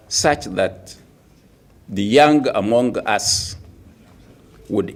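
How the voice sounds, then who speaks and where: Audible room echo surrounds a man as he speaks at a very slow pace. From Nigeria. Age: 70s. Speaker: opposition politician. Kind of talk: press conference speech. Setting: press conference.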